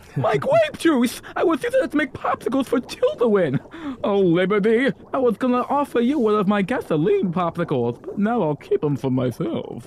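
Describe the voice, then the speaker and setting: A man puts on a character voice at an extremely high pitch, talking at a moderate pace with hardly any pauses. Clear background noise can be heard. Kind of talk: comic improv. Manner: cheerful, oblivious, teasing.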